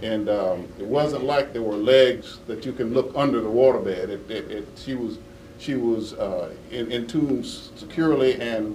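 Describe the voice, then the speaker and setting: A man talks at a fairly slow pace with ordinary pitch variation. Noticeable noise sits in the background. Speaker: law enforcement official answering reporters at a press conference. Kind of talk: press conference answer. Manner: hesitant, halting with many fillers.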